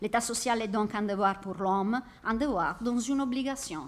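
This woman speaks with an Italian accent. Her intonation is lively. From Italy. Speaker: university researcher. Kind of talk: academic conference paper. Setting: conference hall. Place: classroom. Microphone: podium.

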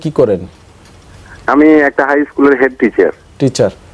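The man speaking has a fairly high pitch. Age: 50s. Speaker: caller, head teacher. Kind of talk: phone-in question. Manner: halting.

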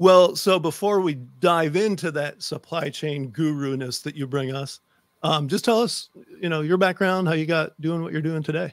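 A man at a moderate pace, fairly high in pitch with ordinary pitch variation, dry sound with no echo over a quiet background. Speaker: podcast host. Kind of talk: casual podcast talk. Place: home room. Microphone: studio mic.

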